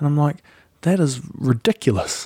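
A man with a New Zealand accent speaks at a fairly quick pace in a dark, mellow tone. His pitch varies in an ordinary way, and the sound is dry and close with no echo. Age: 30s. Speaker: podcast host and video creator. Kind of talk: casual interview. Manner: animated.

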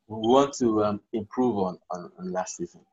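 Over music in the background, a man with a fairly low pitch talks at a very slow pace. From Nigeria. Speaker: sports lawyer and football club president. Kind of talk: podcast interview.

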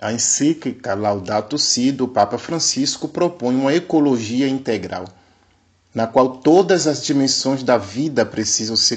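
This man has an unremarkable speaking voice, medium in pitch, with ordinary pitch variation at a fairly slow pace. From Bahia, Brazil (Recôncavo Baiano). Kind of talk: catechetical lecture. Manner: formal.

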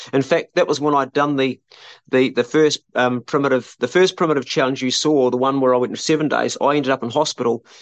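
A man's medium-pitched voice with a New Zealand accent, fairly even intonation and a fairly quick pace, dry and close with no echo over a quiet background. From New Zealand, South Island. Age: 50s. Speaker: survivalist YouTuber and homesteader. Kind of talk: casual chat. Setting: outdoors, remote call. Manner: halting.

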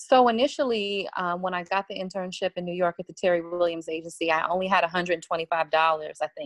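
A woman speaks in an ordinary speaking voice with an American accent, fairly low in pitch with ordinary pitch variation, at a moderate pace. The background is quiet, and the sound is dry and close with no echo. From Washington, D.C. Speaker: music publicist and author. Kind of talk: casual interview chat.

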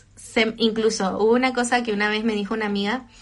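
Speaking at a fairly quick pace, a woman with a Chilean accent has a fairly high pitch. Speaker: social media influencer. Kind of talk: casual livestream chat. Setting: livestream from home. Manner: talkative; animated.

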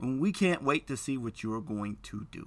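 A man with an American accent at medium pitch, fairly slow, with very wide pitch swings, on a very clean recording with a silent background. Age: 50s. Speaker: podcast host. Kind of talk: solo podcast monologue. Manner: casual, conversational.

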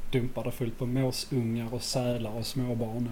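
A man speaks at a medium pitch. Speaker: podcast co-host. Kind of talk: casual chat.

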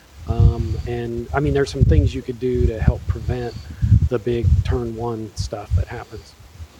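This man talks at a fairly slow pace with a medium pitch and lively intonation. His loudness swings widely, and background noise is noticeable. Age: middle-aged. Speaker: sim racer. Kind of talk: casual chat.

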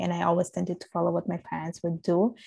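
The recording is very clean, with a silent background. The voice has a dark, mellow tone and an Italian accent. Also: woman. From Sicily, Italy. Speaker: podcast guest. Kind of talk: casual chat.

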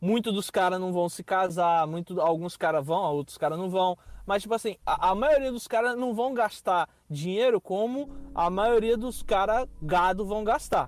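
At a moderate pace, a man with a Rio de Janeiro accent speaks in a high voice with ordinary pitch variation. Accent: carioca. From Rio de Janeiro, Brazil. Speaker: Brazilian immigrant in the US. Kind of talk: casual interview.

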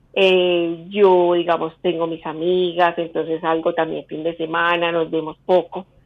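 The delivery is fairly slow, with a monotone, flat intonation. There are hardly any pauses. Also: woman, fairly low pitch for a woman. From Colombia, Manizales. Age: 50s. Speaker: caller. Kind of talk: phone call consultation.

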